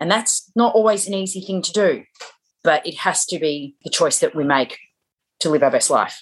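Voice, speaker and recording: A woman with an ordinary speaking voice, medium in pitch, ordinary pitch variation, moderate pace. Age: 40s. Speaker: public speaker and empowerment coach. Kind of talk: interview testimony.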